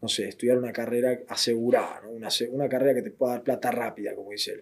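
Fairly even intonation runs through a man's medium-pitched voice. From Argentina, southern Buenos Aires. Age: 20s. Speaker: illustrator and creative director. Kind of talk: interview. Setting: studio.

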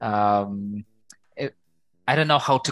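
A man with a Ukrainian accent, lively intonation and a fairly slow pace, against a quiet background. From Ukraine. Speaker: community psychologist and show host. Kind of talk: casual interview conversation.

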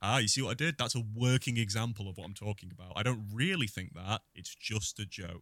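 A man with a normal speaking voice talks at a fairly quick pace with hardly any pauses. His pitch is fairly low with ordinary variation, and his loudness swings widely. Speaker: podcast co-host. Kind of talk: casual chat.

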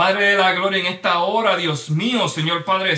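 Fairly even intonation at a fairly slow pace, with audible room echo and noticeable background noise. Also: man. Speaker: church show host. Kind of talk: prayer. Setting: livestream. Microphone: too quiet.

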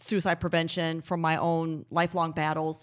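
An ordinary speaking voice talks at a fairly slow pace. The recording is very clean with a silent background. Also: woman. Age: 40s. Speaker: founder of a suicide prevention nonprofit. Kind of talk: casual interview. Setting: at her home.

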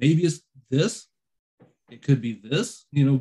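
A man's somewhat breathy voice, fairly high in pitch, with ordinary pitch variation. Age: 40s. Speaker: podcast host. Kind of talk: casual chat.

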